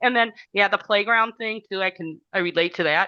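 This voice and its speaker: A woman with a Wisconsin accent speaks in a bright, sharp tone, the sound dry and close with no echo and the background quiet. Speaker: teacher. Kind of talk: casual discussion.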